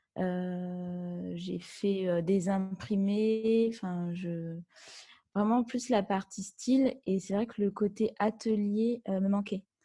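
On a very clean recording with a silent background, a woman speaks very slowly at a medium pitch, somewhat breathy, with a dark, mellow tone and fairly even intonation. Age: 30s. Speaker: wedding dress designer. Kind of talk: interview.

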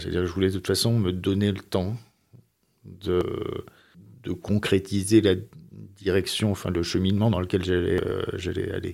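A man speaks at a fairly low pitch and moderate pace with fairly even intonation. The recording is very clean, with a silent background. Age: 60s. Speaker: former corporate executive. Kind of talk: interview. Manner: halting.

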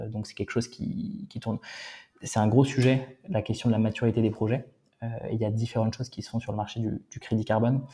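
The voice is somewhat breathy with a dark, mellow tone and a very fast pace. Intonation stays fairly even while loudness swings widely. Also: man, medium pitch for a man. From France/Germany. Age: 30s. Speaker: startup founder and CEO. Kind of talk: interview.

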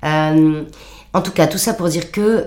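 A woman speaks with audible room echo. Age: 50s. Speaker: founder of an upcycling workshop. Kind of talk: interview. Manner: talkative.

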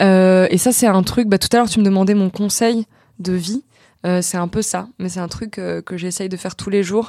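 At a moderate pace, a woman with a medium pitch and a dark, mellow tone uses fairly even intonation in a very clean recording with a silent background. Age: 20s. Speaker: actress and internet comedian. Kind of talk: casual chat. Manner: halting.

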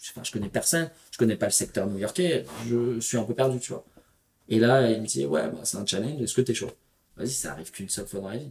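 A man at a medium pitch talks at a very fast pace with vocal fry, big swings in loudness, and long, frequent pauses. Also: lively intonation. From Paris region, Val-d'Oise. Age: 30s. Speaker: entrepreneur and traveler. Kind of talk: casual interview.

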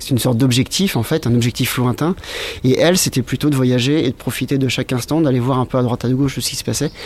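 Medium in pitch, a man's voice runs at a very fast pace with fairly even intonation. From Brittany, France. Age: 30s. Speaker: visual artist and long-distance cyclist. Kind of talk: interview.

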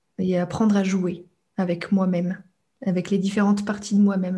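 A woman speaks in a dark, mellow tone, somewhat breathy, with monotone, flat intonation. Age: young. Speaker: neuroscience coach. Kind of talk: interview. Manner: halting.

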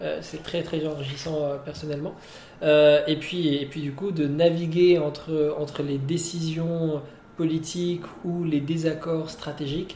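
Fairly high male voice, monotone and flat, at a very slow pace, with audible room echo and noticeable background noise. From Morocco. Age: 30s. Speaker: business consultant. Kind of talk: interview. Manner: halting, many repetitions.

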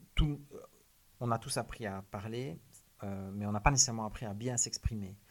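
A man speaks in a Liège accent with ordinary pitch variation. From Belgium, Liège. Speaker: criminologist, author and public speaker. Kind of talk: interview.

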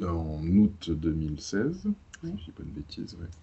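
A man speaks in a very deep, low pitch. His voice is somewhat breathy. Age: 30s. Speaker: software developer and traveler. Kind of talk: casual interview.

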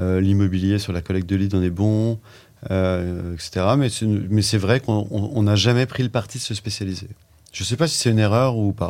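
Moderate-paced speech from a man, an unremarkable speaking voice, fairly low in pitch and ordinary in its pitch variation. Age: 50s. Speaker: entrepreneur, digital agency co-founder. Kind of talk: casual interview chat.

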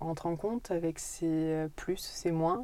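A woman with a fairly low pitch and a dark, mellow tone talks with fairly even intonation. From France, Corrèze (Brive). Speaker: interior architect. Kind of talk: interview.

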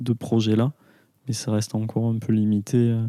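In a very clean recording with a silent background, a man speaks fairly slowly in a dark, mellow tone. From France, Aveyron (rural). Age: 20s. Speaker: architect. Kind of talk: interview. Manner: halting, many hesitations.

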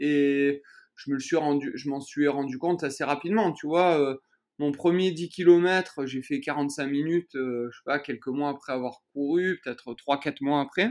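A man with a plain, everyday voice talks at a fairly slow pace and a fairly high pitch. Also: ordinary pitch variation. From southern France, Vaucluse near Avignon. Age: 30s. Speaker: trail runner. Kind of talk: interview.

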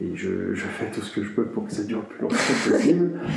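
Noticeable background noise surrounds a man's voice. Audible room echo is present too. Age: 40s. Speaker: interviewee sharing views on death. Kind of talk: interview testimony. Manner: hesitant, many fillers.

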